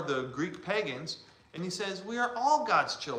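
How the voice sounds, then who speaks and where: Loud and animated, a man speaks at a fairly slow pace with very wide pitch swings, audible room echo and noticeable background noise. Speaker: church teacher. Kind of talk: lecture.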